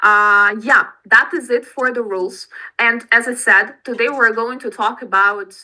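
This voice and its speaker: Speaking at a fairly slow pace, a woman with a Russian accent has a fairly high pitch and a bright, sharp tone. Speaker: English teacher. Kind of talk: online class instructions. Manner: halting.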